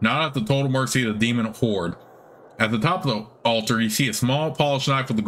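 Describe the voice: What we hear is plain reading aloud.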